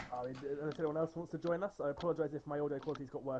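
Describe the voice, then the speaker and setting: Talking at a very fast pace with fairly even intonation, a man with an English accent speaks at a fairly high pitch against noticeable background noise. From England. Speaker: esports race commentator. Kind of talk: stream sign-off chat. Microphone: wired headset, worse audio.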